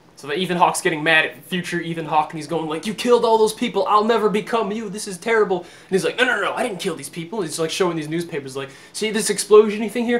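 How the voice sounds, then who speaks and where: Over noticeable background noise, a man talks very fast with hardly any pauses, his high-pitched voice animated and swinging widely in loudness. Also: ordinary pitch variation. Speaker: movie reviewer. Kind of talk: casual movie review.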